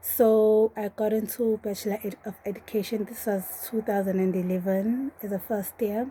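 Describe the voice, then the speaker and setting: Speaking at a moderate pace, a woman uses a fairly high pitch and a monotone, flat intonation, with a somewhat breathy, dark, mellow tone. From South Africa, Durban. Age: 20s. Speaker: PhD candidate and lecturer. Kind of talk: personal testimony.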